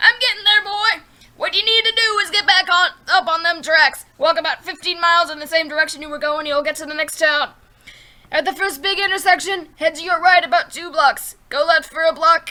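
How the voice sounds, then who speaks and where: An extremely high-pitched, put-on character voice at a fairly quick pace. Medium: read story. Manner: gruff, curt.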